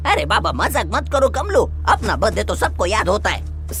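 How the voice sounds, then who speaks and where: Over clear music in the background, a cartoonish character voice moves at a moderate pace. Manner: brash, colloquial.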